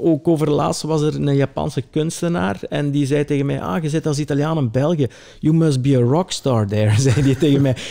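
The voice has a dark, mellow tone and hardly any pauses. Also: man. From Belgian Limburg, Italian family. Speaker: tailor. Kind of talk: casual interview.

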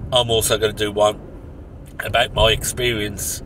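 Over noticeable background noise, a man talks at a moderate pace in a fairly low pitch, with a dry sound and no echo. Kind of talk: casual vlog chat. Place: car. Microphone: phone near.

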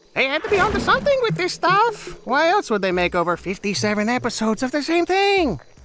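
The high-pitched voice moves at a fairly quick pace with very wide pitch swings and hardly any pauses. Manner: brash, excitable, joking.

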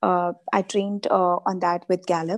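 A woman speaks with an Indian accent. The background is quiet. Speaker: life coach. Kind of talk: interview. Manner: hesitant, many filler sounds. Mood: calm, reflective, thankful. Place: home room. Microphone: video call.

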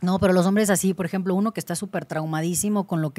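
Very fast and fairly low-pitched, a woman's dark, mellow tone holds fairly even intonation. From Mexico, Cancún; Mexico. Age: 30s. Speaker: gynecologist; guest. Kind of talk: interview. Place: studio. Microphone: studio mic.

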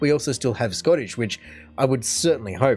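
Faint music plays behind a man with an Australian accent and lively intonation. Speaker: reaction video host. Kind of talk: casual talk to camera. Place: home room.

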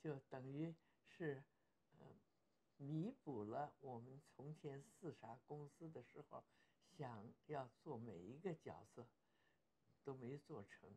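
A somewhat breathy woman with a very deep, low pitch and a dark, mellow tone speaks very slowly, with lively intonation and long, frequent pauses. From Beijing, China. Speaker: actress. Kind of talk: interview answer. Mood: warm, smiling, reflective.

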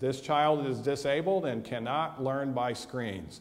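A man talks with an American accent. His pitch sits fairly high. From USA. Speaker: physician and mental health educator; mental health educator. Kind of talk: lecture. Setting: church hall with audience. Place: hall.

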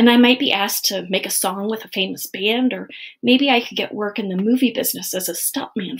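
Ordinary pitch variation over plain reading aloud

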